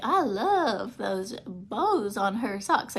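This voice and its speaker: A woman performs a put-on character voice in a Southern accent. Light background noise can be heard. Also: fairly high pitch for a woman. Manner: sweet, drawling.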